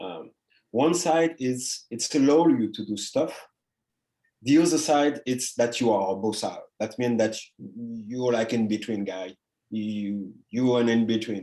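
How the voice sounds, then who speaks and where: In a French Caribbean accent, a man with a dark, mellow tone talks fairly slowly at medium pitch, with ordinary pitch variation and long, frequent pauses. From Guadeloupe, French Caribbean. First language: French / Creole. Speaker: artist. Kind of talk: interview conversation. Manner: halting, many fillers.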